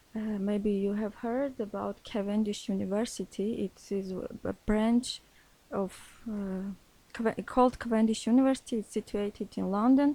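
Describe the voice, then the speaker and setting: The voice has a dark, mellow tone and an Armenian accent. It moves at a moderate pace with fairly even intonation. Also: woman, fairly high pitch for a woman. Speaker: English learner, social worker by training. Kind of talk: interview in second language. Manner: halting, many hesitations.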